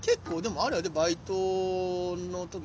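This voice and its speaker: A man with a Kansai accent speaks at a high pitch. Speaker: comedian, podcast host. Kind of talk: casual chat. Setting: outdoors in a park.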